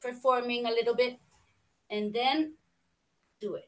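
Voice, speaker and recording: In a Spanish accent, a woman speaks at a high pitch. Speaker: fashion and costume designer. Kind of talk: online round table contribution. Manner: halting.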